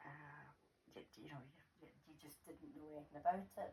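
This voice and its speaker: In a Scottish accent, a woman talks at a moderate pace with a very deep, low pitch. Her voice is somewhat breathy. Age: 70s. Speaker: grandmother, former nurse. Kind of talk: interview.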